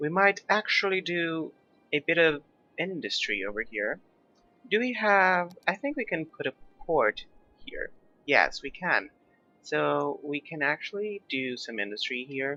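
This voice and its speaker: A man's high voice with very wide pitch swings, at a fairly slow pace with long, frequent pauses, dry and close with no echo, over music in the background. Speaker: gaming YouTuber. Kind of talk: gameplay commentary. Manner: casual, hesitant with fillers.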